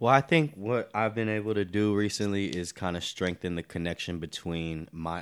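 A man talks at a moderate pace with an American accent and ordinary pitch variation. The recording is very clean, with a silent background. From US South, North Carolina. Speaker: poet and hip-hop artist. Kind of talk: casual chat.

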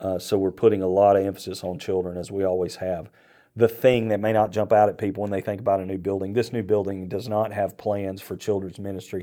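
The speech comes at a very fast pace in a dark, mellow tone with monotone, flat intonation, on a very clean recording with a silent background. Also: man, fairly low pitch for a man. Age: 50s. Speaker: senior pastor. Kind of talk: casual chat.

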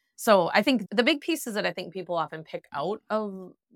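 A woman with a Wisconsin accent talks at a fairly quick pace. The recording is very clean with a silent background and a dry, close sound with no echo. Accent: Wisconsin Midwestern US. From Wisconsin, US. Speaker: dog trainer. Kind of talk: interview conversation.

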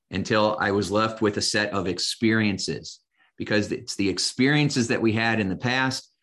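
A man's fairly low voice with a Midwestern American accent, ordinary pitch variation and a moderate pace, over a quiet background. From US Midwest, Indiana. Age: 50s. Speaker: hypnotist and coach. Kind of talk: casual interview.

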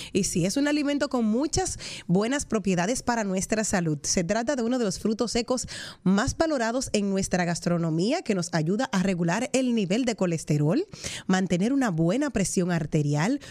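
A woman with a Dominican accent speaks at a moderate pace in a fairly high pitch, her dark, mellow tone sweeping through very wide pitch swings while her loudness stays very even. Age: 40s. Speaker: radio host. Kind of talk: casual radio chat. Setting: radio studio.

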